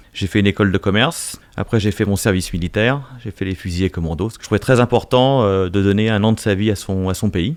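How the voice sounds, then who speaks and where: A very fast-talking man with a fairly low pitch and ordinary pitch variation. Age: 50s. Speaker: business executive. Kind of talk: interview. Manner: hesitant, many fillers.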